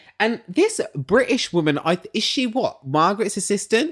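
On a very clean recording with a silent background, a man speaks with an English accent. His tone is animated, and his pitch swings very widely. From England. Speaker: podcast host and musician. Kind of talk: casual chat.

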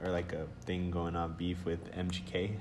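Speaking with an American accent, a man talks at a fairly slow pace in a very deep, low pitch with monotone, flat intonation, and audible room echo surrounds him. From Texas. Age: 20s. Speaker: podcast host. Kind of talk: casual chat. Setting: library conference room. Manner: halting, many fillers.

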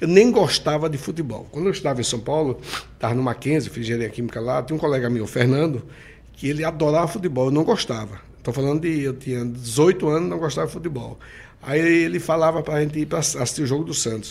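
In a Sergipe accent, a man talks very fast with a fairly high pitch, lively intonation and a somewhat breathy voice. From Sergipe, Brazil (countryside). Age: 60s. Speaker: mayor and businessman. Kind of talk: interview.

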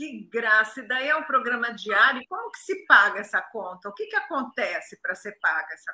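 The voice has a bright, sharp tone, very wide pitch swings and big swings in loudness, with hardly any pauses. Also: woman, high pitch for a woman, moderate pace. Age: 60s. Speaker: live show host. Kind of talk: casual interview on a live stream. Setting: video call live stream. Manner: animated.

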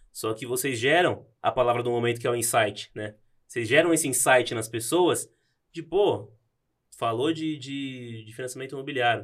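A man's medium-pitched voice, an unremarkable speaking voice, with ordinary pitch variation and a fairly quick pace. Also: big swings in loudness. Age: 20s. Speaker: bank employee. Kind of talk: casual chat.

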